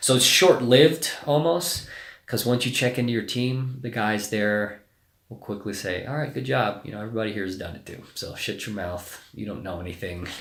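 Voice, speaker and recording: Amid audible room echo, a man at medium pitch talks at a moderate pace with lively intonation and big swings in loudness. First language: Spanish. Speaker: navy special forces officer. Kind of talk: casual interview. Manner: hesitant, many fillers.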